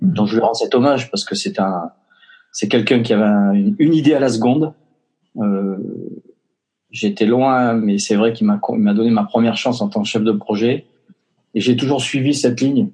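A man talks at a moderate pace in a medium pitch, his tone dark and mellow, with ordinary pitch variation and long, frequent pauses. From Basque Country. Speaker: entrepreneur. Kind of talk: interview. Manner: hesitant, many fillers.

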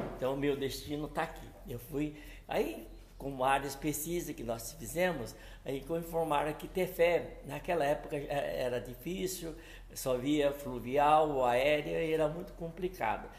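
At a fairly slow pace, a man with a fairly high pitch talks with vocal fry amid audible room echo. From São Paulo state, Brazil. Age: 70s. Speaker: entrepreneur. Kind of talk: interview. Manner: halting.

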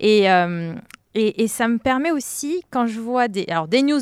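A woman with an unremarkable speaking voice and fairly high pitch speaks with lively intonation in a dry, close sound with no echo, on a very clean recording with a silent background. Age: 30s. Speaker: account manager and podcaster. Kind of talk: casual chat.

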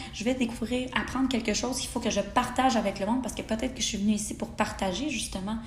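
With a Quebec accent, a woman with a fairly high pitch talks very fast in fairly even intonation, with audible room echo and noticeable background noise. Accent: Québécois French. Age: 20s. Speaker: podcast host, human design enthusiast. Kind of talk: casual monologue.

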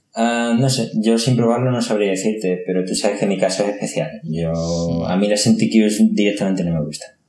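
Audible room echo surrounds a man speaking fairly quickly at a fairly low pitch. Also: ordinary pitch variation. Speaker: tech podcast host. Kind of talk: casual chat.

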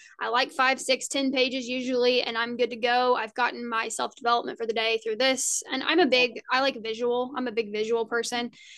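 A woman with an American accent talks fairly quickly in a high pitch, keeping her intonation fairly even. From Indiana. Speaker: podcast host. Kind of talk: casual interview chat.

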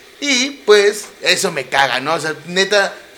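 An animated man with a high pitch and lively intonation, over noticeable background noise. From Mexico City. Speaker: podcast host. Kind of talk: casual monologue.

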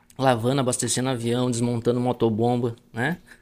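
A man's voice comes through with clearly audible noise behind it. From Rio Grande do Sul, Brazil (Palmares do Sul). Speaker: agricultural pilot. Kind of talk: casual interview.

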